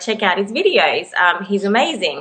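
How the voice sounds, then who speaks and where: A woman talks at a moderate pace in an Australian accent. Her tone is bright and sharp. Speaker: singer. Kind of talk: casual interview.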